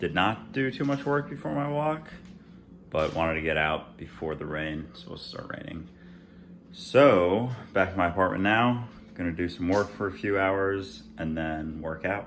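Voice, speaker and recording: A man with an American accent and a very deep, low pitch, at a moderate pace, with very wide pitch swings and audible room echo. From Minnesota, Minneapolis. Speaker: lifestyle and fitness vlogger. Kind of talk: vlog narration. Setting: outdoors, backyard; at home, apartment.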